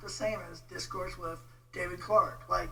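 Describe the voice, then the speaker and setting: A man speaks at a moderate pace. The room echo is audible, and there is noticeable background noise. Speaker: online commentator on theology. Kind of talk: casual rant video. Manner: informal, hesitant with many fillers.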